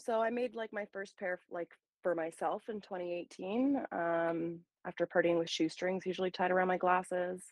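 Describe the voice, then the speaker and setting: Speaking at a moderate pace, a woman has an unremarkable speaking voice with a Canadian accent, medium pitch and ordinary pitch variation. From Ontario, Canada. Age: 30s. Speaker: small business owner. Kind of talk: casual chat.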